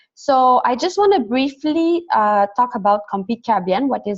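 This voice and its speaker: A woman with a French Canadian accent talks at a fairly quick pace, the sound dry and close with no echo. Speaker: development program coordinator. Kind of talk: webinar presentation. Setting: online webinar. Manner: fast.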